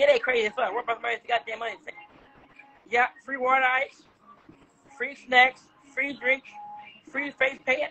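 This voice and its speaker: Long pauses come often throughout. Music plays behind the voice. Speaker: livestream host fundraising for event. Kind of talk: sales pitch. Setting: live stream. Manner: fast, repetitive, pleading; casual, slangy, familiar. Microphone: phone near.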